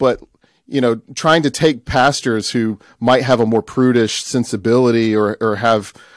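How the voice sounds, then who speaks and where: Ordinary pitch variation with an American accent, dry and close with no echo, on a very clean recording with a silent background. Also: man. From US South, Tupelo, Mississippi. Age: 30s. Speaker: church elder and documentary producer. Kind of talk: interview conversation.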